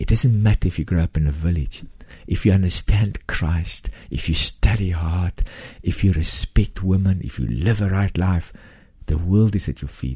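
This man has a very deep, low pitch and a dark, mellow tone, somewhat breathy, with an Afrikaans South African accent, ordinary pitch variation and a moderate pace. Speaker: charity founder. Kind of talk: interview testimony. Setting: studio.

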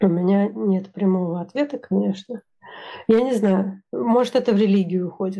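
A woman's dark, mellow tone at a medium pitch, with ordinary pitch variation and a moderate pace. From Russia. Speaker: engineering manager. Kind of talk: casual interview.

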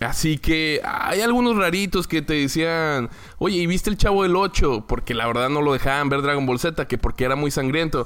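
A man speaks with a fairly high pitch. His voice swings very widely up and down. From Mexico, Torreón, Coahuila. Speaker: football podcaster. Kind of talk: casual monologue. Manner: halting, with repetitions.

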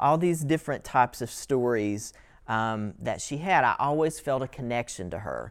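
Someone with an Appalachian accent talks at a moderate pace on a very clean recording with a silent background. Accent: Appalachian US Southern. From southeastern Kentucky, US. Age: 30s. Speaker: writing workshop instructor. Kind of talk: lecture.

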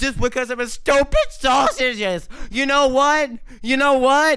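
A man's raised, projected voice carries a bright, sharp tone at a moderate pace. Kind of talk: comedic impression of a celebrity, mock-solemn storytelling narration; casual comedy show hosting with improvised bits.

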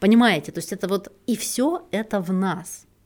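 A woman with a normal speaking voice and ordinary pitch variation, in a very clean recording with a silent background. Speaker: podcast host, relationship psychologist. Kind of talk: solo podcast talk.

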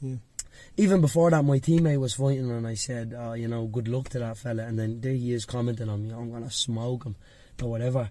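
With a Dublin accent, a man speaks at a very fast pace in a medium pitch, his tone dark and mellow and his intonation fairly even. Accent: Dublin Irish. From Dublin, Ireland. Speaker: MMA fighter. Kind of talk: casual chat.

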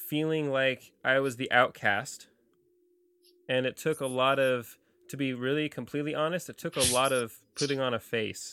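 A man with an American accent has a bright, sharp tone. He keeps a moderate pace and fairly even intonation. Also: medium pitch for a man, very clean recording, silent background. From Central California. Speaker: podcast host and website creator. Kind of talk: casual interview. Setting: studio.

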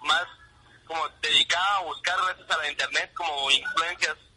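Speaking with a Guatemalan accent, a man uses a high pitch and ordinary pitch variation at a moderate pace. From Guatemala, Huehuetenango. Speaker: rock musician. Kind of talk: interview.

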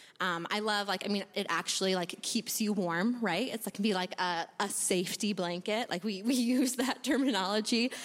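With an American accent, the speaker keeps a moderate pace, ordinary pitch variation, very even loudness and hardly any pauses. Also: woman, medium pitch for a woman. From US Midwest. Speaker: church member giving a talk. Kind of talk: casual testimony at church service. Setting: church with audience. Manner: animated, playful.

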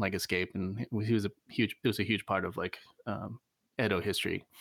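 In a very clean recording with a silent background, the speaker has an American accent, fairly even intonation and a moderate pace. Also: man. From Virginia, US. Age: 40s. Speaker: musician. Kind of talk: casual interview. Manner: halting, many fillers.

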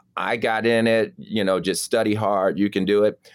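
Here a man with an American accent has an ordinary speaking voice at a fairly low pitch. The recording is very clean with a silent background, and the sound is dry and close with no echo. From Chicago, South Side. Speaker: surgeon. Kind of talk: casual interview.

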